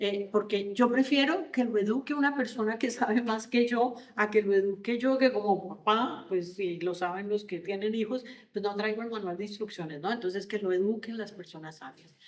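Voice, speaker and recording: A woman at fairly high pitch, moderate in pace, with hardly any pauses and noticeable background noise. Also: ordinary pitch variation. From Colombia. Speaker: leadership consultant and coach. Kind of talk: podcast interview. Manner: hesitant, many fillers and repetitions.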